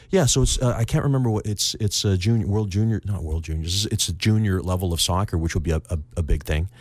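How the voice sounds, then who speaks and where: Speaking at a very fast pace, a man has a fairly low pitch and ordinary pitch variation. His voice is somewhat breathy. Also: hardly any pauses. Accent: Canadian. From Canada, Victoria BC. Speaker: real estate agent. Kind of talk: casual interview.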